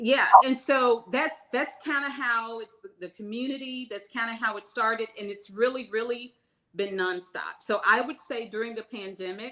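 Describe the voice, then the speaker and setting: This woman's voice is fairly high with a bright, sharp tone. She speaks at a moderate pace with ordinary pitch variation. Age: 60s. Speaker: small business owner, baker. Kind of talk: interview.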